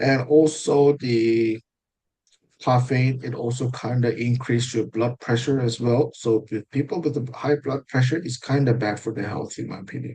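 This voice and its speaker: A man with a Korean accent speaks at medium pitch and a moderate pace, his voice somewhat breathy, his tone dark and mellow, his intonation fairly even. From South Korea. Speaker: IELTS mock test candidate. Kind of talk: mock speaking exam interview. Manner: halting, with fillers and self-corrections.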